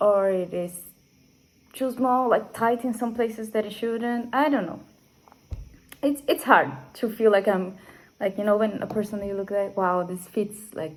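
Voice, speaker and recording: At a fairly high pitch, a woman with a Brazilian accent speaks with long, frequent pauses. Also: ordinary pitch variation, moderate pace. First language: Portuguese. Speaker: knitting podcaster. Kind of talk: casual chat. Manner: halting, with fillers.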